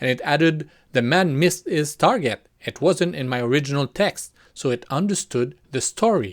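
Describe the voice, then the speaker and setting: A fairly high-pitched man with a non-native accent and very wide pitch swings. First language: not English. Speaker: VFX artist and video creator. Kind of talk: tutorial. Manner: casual, conversational.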